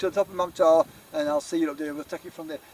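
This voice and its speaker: A man's very fast delivery with lively intonation, in a dry, close sound without echo. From Yorkshire. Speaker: outdoor adventure vlogger. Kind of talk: casual vlog narration. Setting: outdoors. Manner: rambling, chatty.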